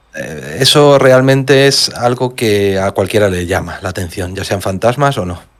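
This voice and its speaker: The speech moves at a fairly slow pace with hardly any pauses and lively intonation. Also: man, fairly low pitch for a man. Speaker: mystery podcaster. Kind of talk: casual chat.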